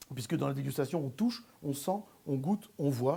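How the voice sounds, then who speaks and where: A man with a dark, mellow tone and a somewhat breathy voice talks at a fairly quick pace with lively intonation. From Belgium. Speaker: sommelier and stage performer. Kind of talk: promotional interview mixed with stage show excerpts. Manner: hesitant, with many fillers.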